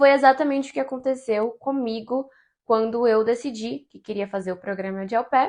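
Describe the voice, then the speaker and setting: With a Brazilian accent, a woman at a fairly high pitch speaks with big swings in loudness. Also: ordinary pitch variation, moderate pace, quiet background. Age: 20s. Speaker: travel content creator. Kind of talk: casual talk to camera.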